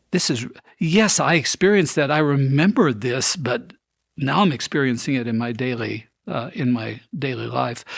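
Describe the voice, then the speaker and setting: A man talks at a moderate pace with lively intonation. His voice sits at a medium pitch and carries vocal fry. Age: 70s. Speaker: pastor and former university president. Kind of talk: interview about ministry. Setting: podcast recorded on camera.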